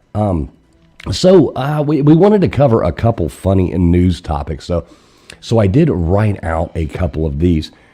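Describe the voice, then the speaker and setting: With music in the background, a man speaks at a moderate pace in a very deep, low voice that swings very widely in pitch. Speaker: live call-in show host. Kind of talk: casual live-stream chat.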